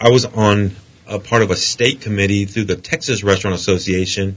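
In a plain, everyday voice, a man talks at a fairly quick pace with fairly low pitch and fairly even intonation. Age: 50s. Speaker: politician. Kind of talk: interview. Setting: studio.

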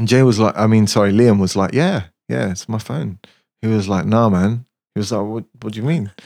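Fairly quick speech from a man with an ordinary speaking voice, fairly low pitch and ordinary pitch variation, on a very clean recording with a silent background. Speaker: music producer. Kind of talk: casual chat.

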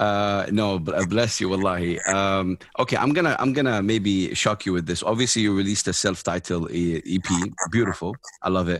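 A man with an Arabic accent speaks at a moderate pace in a fairly low pitch, with ordinary pitch variation and very even loudness, on a very clean recording with a silent background. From Saudi Arabia. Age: 40s. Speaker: podcast host. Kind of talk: casual interview. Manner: animated; halting with fillers.

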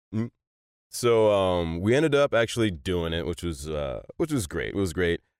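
A man talks at a moderate pace in a fairly low voice that makes very wide pitch swings. The recording is very clean with a silent background and a dry, close sound with no echo. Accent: American. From Kansas City, US Midwest. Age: 30s. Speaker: voice actor. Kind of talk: casual chat. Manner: animated.

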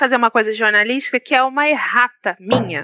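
The voice is raised and projected at a fairly quick pace, dry and close with no echo, with noticeable background noise. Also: woman. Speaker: podcast moderator, journalist. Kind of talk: interview.

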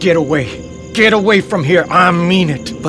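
A man puts on a growling character voice with a high pitch, speaking at a moderate pace. Clear music plays in the background. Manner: growling, threatening.

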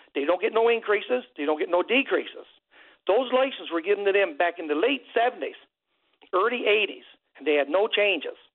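A man with a high voice talks at a fairly quick pace, his intonation lively. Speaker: caller, hunter. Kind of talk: radio call-in. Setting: phone call.

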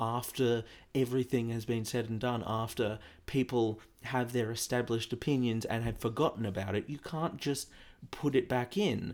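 On a very clean recording with a silent background, a man with an Australian accent speaks at a medium pitch and a moderate pace. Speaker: gaming podcast host. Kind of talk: solo podcast monologue. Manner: animated.

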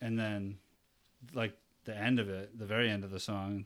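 In a New England accent, a man talks with a fairly low pitch and monotone, flat intonation. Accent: New England American. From Taunton, Massachusetts. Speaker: podcast host. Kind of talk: casual chat.

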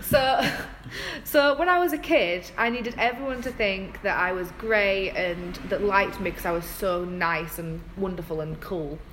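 A woman's medium-pitched voice with lively intonation at a fairly slow pace, with audible room echo and noticeable background noise. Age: 20s. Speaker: podcast co-host. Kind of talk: casual chat.

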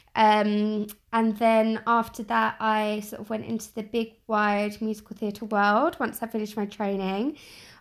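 In a London accent, the speaker talks at a fairly slow pace with monotone, flat intonation and hardly any pauses, on a very clean recording with a silent background. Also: woman, fairly high pitch for a woman. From South East London. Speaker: media professional. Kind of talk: casual chat.

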